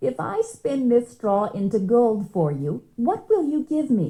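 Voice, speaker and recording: The voice is a croaky, put-on character voice. It moves at a fairly slow pace. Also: woman, fairly high pitch for a woman. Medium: read story.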